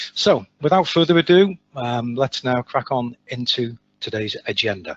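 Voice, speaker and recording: With an English accent, a man talks fairly slowly and with lively intonation. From England. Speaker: sales manager. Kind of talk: webinar presentation. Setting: online webinar.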